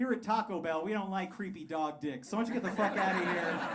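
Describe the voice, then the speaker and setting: A man with an American accent, talking at a fairly quick clip with lively intonation, plus audible room echo and noticeable background noise. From Colorado (Pueblo). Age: 30s. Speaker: stand-up comedian. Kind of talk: stand-up. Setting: stage with audience.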